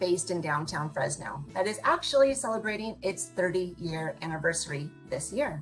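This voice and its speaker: A woman speaks at a fairly low pitch and a moderate pace. Music can be heard in the background. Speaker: interview host. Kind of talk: interview host introduction.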